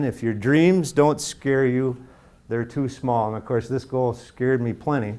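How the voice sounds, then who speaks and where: A man at medium pitch with an ordinary speaking voice and fairly even intonation, in a very clean recording with a silent background. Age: 60s. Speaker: motivational speaker and founder of a men's group. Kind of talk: motivational speech. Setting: stage with audience.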